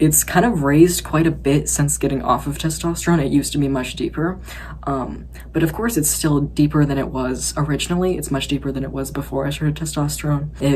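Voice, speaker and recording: Noticeable background noise is present throughout. Over it, a woman talks fairly quickly. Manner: natural, unraised.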